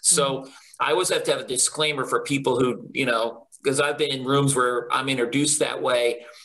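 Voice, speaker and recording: A man speaks at a fairly quick pace with very even loudness. Background noise is noticeable. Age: 50s. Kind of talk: interview. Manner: candid and humorous.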